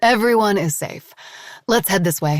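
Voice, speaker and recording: A raspy, put-on character voice sounds female, at medium pitch for a woman. The pace is moderate. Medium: read story. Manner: calm, composed.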